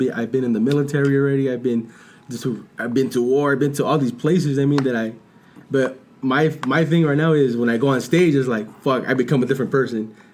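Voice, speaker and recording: The speech races along at a very fast pace with fairly even intonation. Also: man. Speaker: podcast host and aspiring stand-up comedian. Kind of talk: casual chat. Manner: halting.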